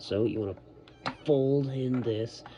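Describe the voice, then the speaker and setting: A man with ordinary pitch variation, noticeable background noise behind him. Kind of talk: toy review, casual talk to camera. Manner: casual, giggly.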